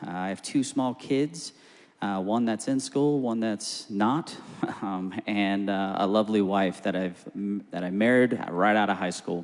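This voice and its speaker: An ordinary speaking voice belongs to this man, who talks with an American accent at a fairly slow pace and a fairly low pitch with ordinary pitch variation. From Phoenix, Arizona, US. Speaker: political candidate. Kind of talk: candidate introduction.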